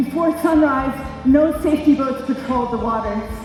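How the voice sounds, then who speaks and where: Background music plays while a woman talks. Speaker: college professor and former aerialist. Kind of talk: live storytelling performance. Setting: live theatre stage.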